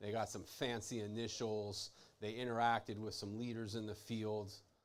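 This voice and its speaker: A man's speech carries audible room echo. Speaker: chiropractor giving a talk. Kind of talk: lecture. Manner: casual, conversational.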